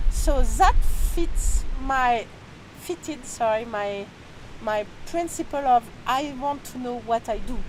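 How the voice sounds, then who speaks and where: Over noticeable background noise, a woman speaks very slowly with long, frequent pauses, her pitch high and her pitch variation ordinary. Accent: French. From France. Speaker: energy healer and author. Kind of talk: interview. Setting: outdoors near a restaurant in Peru. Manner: halting.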